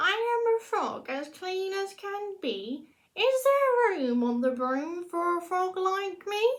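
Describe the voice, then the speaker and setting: A woman's put-on character voice, extremely high-pitched and fairly slow. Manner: polite, hopeful.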